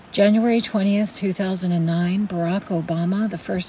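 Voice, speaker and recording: A woman's fairly low voice with an American accent and fairly even intonation, amid noticeable background noise. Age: 50s. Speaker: podcast host. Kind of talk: scripted narration. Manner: formal.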